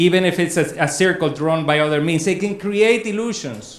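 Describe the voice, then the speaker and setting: The speaker is a man with a high pitch. Audible room echo surrounds his voice. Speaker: academic conference speaker. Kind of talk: lecture. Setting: conference room with audience, also on Zoom.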